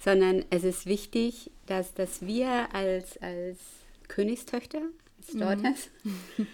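Her tone dark and mellow, a woman speaks at a very slow pace and medium pitch with ordinary pitch variation. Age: 60s. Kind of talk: testimony.

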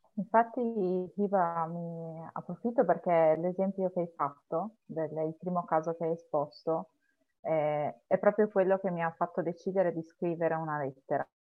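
A woman's fairly low voice at a moderate pace, with ordinary pitch variation and music in the background. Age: 30s. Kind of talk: casual chat.

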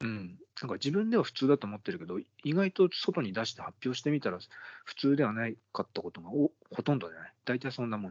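A man races at a very fast pace, with very wide pitch swings and big swings in loudness. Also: medium pitch for a man. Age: 40s. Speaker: podcast co-host. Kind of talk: casual chat.

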